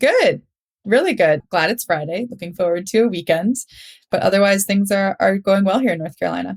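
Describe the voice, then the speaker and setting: A woman with an American accent and vocal fry at a fairly quick pace, with ordinary pitch variation, dry and close with no echo. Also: medium pitch for a woman. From Minnesota, US. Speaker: food scientist and startup founder. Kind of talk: podcast interview. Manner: casual, conversational.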